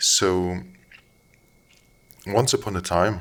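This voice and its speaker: A man with a non-native accent speaks at a very slow pace. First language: not English. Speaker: commentator. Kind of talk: monologue commentary. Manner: halting.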